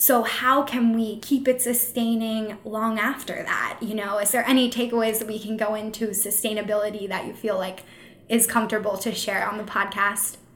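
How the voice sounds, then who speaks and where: Over noticeable background noise, a woman with a fairly high pitch talks at a moderate pace with hardly any pauses and monotone, flat intonation. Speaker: podcast host and social media manager. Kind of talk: casual interview chat.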